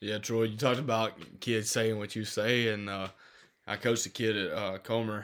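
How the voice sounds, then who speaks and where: A man's medium-pitched, monotone, flat delivery at a moderate pace in a very clean recording with a silent background. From Alabama. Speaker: podcast host and football coach. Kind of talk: casual chat.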